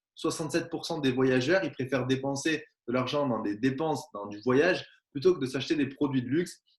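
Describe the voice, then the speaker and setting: Moving at a fairly quick pace, a man speaks at a medium pitch with ordinary pitch variation. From southwest France. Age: 20s. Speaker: network marketing presenter. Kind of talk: sales pitch.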